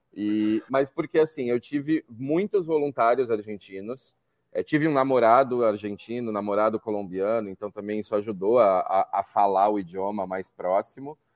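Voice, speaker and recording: In a dry, close recording with no echo, a man with an unremarkable speaking voice talks at a moderate pace with ordinary pitch variation and hardly any pauses. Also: medium pitch for a man. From Brazil, São Paulo. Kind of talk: casual interview chat.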